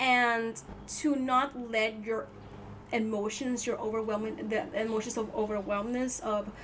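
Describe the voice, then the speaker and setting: The speaker has a non-native accent and fairly even intonation at a fairly slow pace. Audible room echo fills the space. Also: woman, fairly high pitch for a woman. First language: not English. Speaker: tarot reader. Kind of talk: tarot reading. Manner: halting, repeats words; casual.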